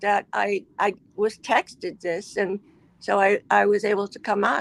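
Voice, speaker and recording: A woman's medium-pitched voice with an American accent and vocal fry, monotone and flat, at a fairly slow pace, with a dry, close sound with no echo. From US Midwest (Michigan). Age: 70s. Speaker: caller, retired research scientist. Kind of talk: casual chat.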